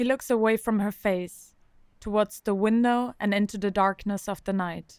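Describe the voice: Speaking at a moderate pace, a woman has a medium pitch, fairly even intonation and a clear, smooth, slightly mellow tone.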